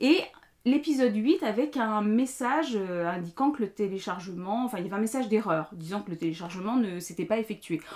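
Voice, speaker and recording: A woman's fairly high voice, lively in intonation, at a fairly quick pace. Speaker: knitting podcaster and teacher. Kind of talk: casual vlog monologue. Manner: hesitant, many fillers.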